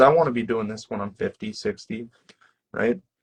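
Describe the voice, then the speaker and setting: A man at medium pitch has a plain, everyday voice, heard in a dry, close sound with no echo. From Canada, small town. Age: 20s. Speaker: professional bodybuilder and coach. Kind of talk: casual interview chat.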